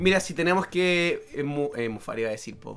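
The recording is very clean, with a silent background. A man speaks at a moderate pace and with ordinary pitch variation. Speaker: podcast host. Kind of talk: casual chat.

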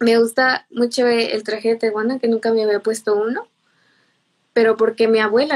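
The speaker is a woman with a fairly high pitch. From Mexico, Irapuato, Guanajuato. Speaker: cultural promoter. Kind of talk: interview.

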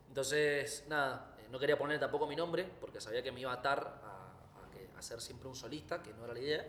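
A man speaks fairly quickly at a fairly high pitch, with ordinary pitch variation and big swings in loudness. Noticeable background noise is present. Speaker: singer and guitarist. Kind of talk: casual interview. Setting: recording venue.

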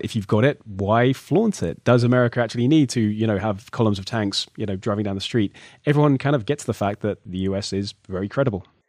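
A man's medium-pitched voice at a fairly quick pace, with ordinary pitch variation, in a dry, close sound with no echo. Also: quiet background. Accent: British. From Britain. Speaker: podcast host. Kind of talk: podcast interview.

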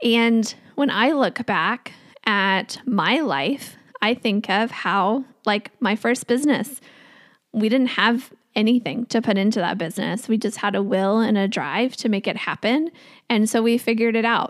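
Here is a plain, everyday voice: a woman with an American accent and a fairly high pitch. She goes at a fairly slow pace, with ordinary pitch variation. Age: 30s. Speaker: podcast host, financial coach. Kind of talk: solo podcast talk.

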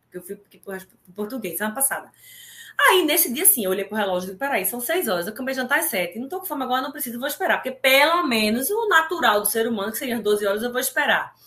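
A woman's high voice at a very fast pace, with very wide pitch swings. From Brazil, Recife (Pernambuco). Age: 40s. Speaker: amateur triathlete. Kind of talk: casual interview. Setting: live stream.

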